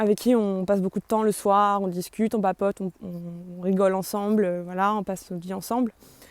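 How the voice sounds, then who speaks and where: A woman speaks at medium pitch. The recording is very clean, with a silent background and a dry, close sound with no echo. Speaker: video blogger. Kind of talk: testimony. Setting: psychiatric clinic. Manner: fast; hesitant.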